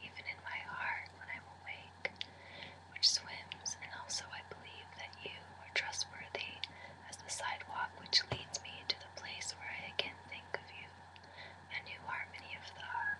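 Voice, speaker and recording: Whispering at a moderate pace, a man swings widely in loudness over noticeable background noise. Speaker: Spanish major student. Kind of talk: poetry reading in a whisper. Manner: whispered, soft, relaxing.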